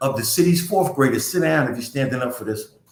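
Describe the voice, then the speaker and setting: In a room with audible echo, a man talks at a very fast pace, somewhat breathy and with lively intonation. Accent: American. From US, North Philadelphia. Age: 60s. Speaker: community nonprofit director. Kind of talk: community talk livestream. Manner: animated.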